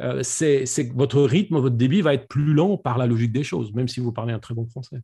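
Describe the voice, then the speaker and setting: Speaking at a fairly quick pace with hardly any pauses, a man has a somewhat breathy, dark, mellow tone and ordinary pitch variation over a quiet background. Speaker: public speaking coach. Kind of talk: online presentation Q&A. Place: home room. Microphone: studio mic.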